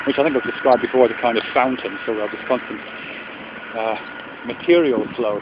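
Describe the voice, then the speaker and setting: Recorded dry with no echo, a man talks at a moderate pace with ordinary pitch variation against noticeable background noise. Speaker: vlogger. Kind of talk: reflective philosophical monologue. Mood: calm, thoughtful. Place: open country. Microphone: phone near.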